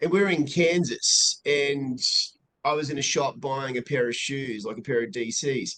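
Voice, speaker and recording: A man with an Australian accent talks at a fairly high pitch. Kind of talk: casual chat.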